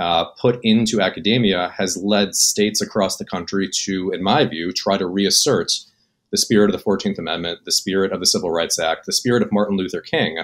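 A man talks in a plain, everyday voice at a fairly quick pace. His pitch is fairly low, with ordinary pitch variation. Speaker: remote podcast guest. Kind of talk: debate argument. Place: home room. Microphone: webcam.

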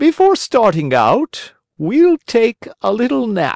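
A man uses a put-on character voice pitched high, with very wide pitch swings. He speaks at a fairly slow pace. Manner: smooth, scheming.

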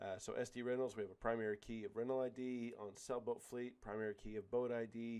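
A man talks at a fairly quick pace in a monotone, flat intonation, with hardly any pauses. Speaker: professor. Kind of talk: tutorial. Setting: screen recording. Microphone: studio mic.

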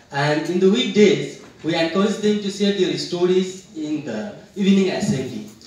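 High-pitched man's voice with ordinary pitch variation, audible room echo and noticeable background noise. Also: moderate pace. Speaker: school headmaster. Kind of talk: conference presentation.

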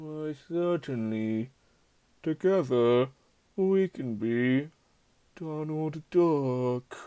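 A man in a put-on character voice, fairly high in pitch, very slow, with long, frequent pauses. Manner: calm, polite, slightly menacing.

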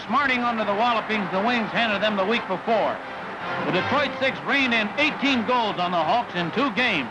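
Over music in the background, a man with a high pitch projects a raised voice at a moderate pace, using ordinary pitch variation. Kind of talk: newsreel sports narration. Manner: lively, punchy. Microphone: old recording.

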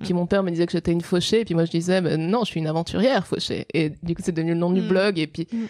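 A woman's fairly low-pitched voice at a very fast pace, with fairly even intonation. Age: 20s. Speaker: adventurer and author. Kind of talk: interview. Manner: halting.

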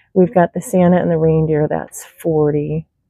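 A woman speaks at a moderate pace against a quiet background. The sound is dry, with no echo. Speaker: reseller. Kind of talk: casual vlog chat. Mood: excited, delighted. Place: shop. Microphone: phone near.

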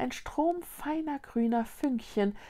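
A woman delivers her words very slowly in a dark, mellow, dramatic tone, her pitch swinging very widely against a quiet background. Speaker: children's book reader. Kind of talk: suspenseful narration of a fantasy children's story. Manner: dramatic, tense. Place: home room.

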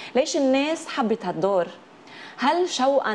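Light background noise sits behind a woman's voice. She has a Lebanese accent and a moderate pace. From Lebanon. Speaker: TV talk show host. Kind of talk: TV interview. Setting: TV studio with audience. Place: studio. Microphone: lapel.

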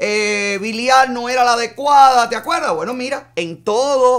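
A man speaks against a quiet background. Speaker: live show host commentator. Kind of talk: political commentary. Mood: indignant, sarcastic. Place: studio.

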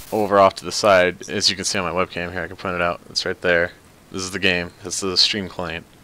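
A man over music in the background, in a dry sound with no echo. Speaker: game streamer. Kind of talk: casual stream commentary.

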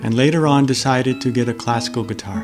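A man with an American accent at a fairly quick pace, over clear music in the background. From Boston, Massachusetts, USA. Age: 60s. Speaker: English teacher. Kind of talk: casual talk to camera. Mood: calm, friendly. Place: home room.

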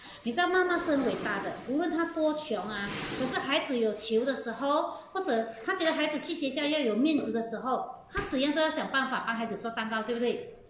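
Fairly quick speech over light background noise, with audible room echo. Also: woman, high pitch for a woman. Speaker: baking teacher. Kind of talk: live baking class storytelling. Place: kitchen.

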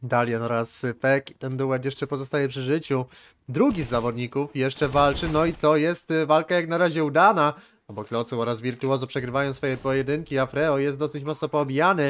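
A man with an ordinary speaking voice, fairly high pitch, fairly even intonation and a fairly quick pace. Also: very clean recording, silent background. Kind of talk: esports match commentary, play-by-play of CS:GO rounds. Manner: tense, breathless narration that switches to disappointment when the round is lost.

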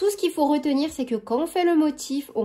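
A woman speaking at a fairly quick pace over a quiet background. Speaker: crochet tutorial creator. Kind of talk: tutorial. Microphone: phone near.

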